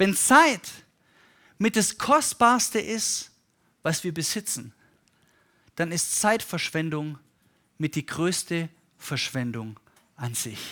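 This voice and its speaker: A man speaks very slowly at a high pitch with very wide pitch swings, in a bright, sharp tone. Long, frequent pauses break up the speech on a very clean recording with a silent background. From Germany, Stuttgart. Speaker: pastor. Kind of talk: sermon.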